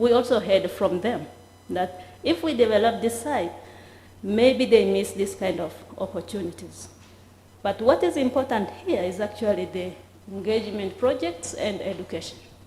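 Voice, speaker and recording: Audible room echo is present as a woman speaks at a moderate pace. Her pitch is medium, with ordinary pitch variation. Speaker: heritage site official. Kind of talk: conference presentation. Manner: halting.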